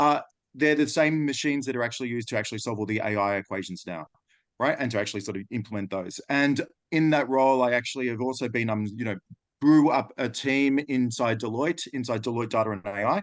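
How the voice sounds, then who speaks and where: The speech runs at a very fast pace with ordinary pitch variation. The background is quiet. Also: man, medium pitch for a man. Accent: Australian. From Australia. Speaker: data and AI consultant. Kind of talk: webinar presentation.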